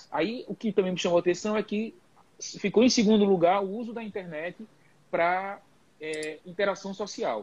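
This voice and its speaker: A man with a high pitch speaks at a moderate pace with fairly even intonation and big swings in loudness. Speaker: geriatrician. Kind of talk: live panel discussion. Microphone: connection cutting out.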